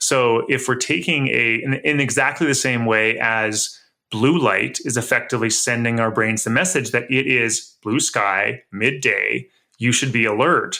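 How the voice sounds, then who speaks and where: A man talks at a fairly slow pace and medium pitch, with ordinary pitch variation and vocal fry. His tone is bright and sharp, and his loudness stays very even. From grew up in a cabin. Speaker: author and health expert. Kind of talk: interview conversation.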